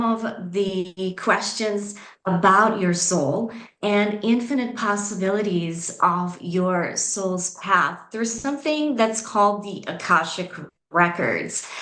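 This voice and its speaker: Very slow speech with a slight Southeast European accent and audible room echo. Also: woman. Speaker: spiritual coach. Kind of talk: conference presentation. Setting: video call.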